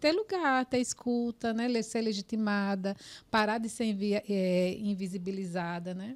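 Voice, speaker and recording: A woman with a normal speaking voice talks at a fairly high pitch and fairly slow pace, with ordinary pitch variation, in a very clean recording with a silent background. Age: 40s. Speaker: podcast host, psychologist. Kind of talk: podcast interview.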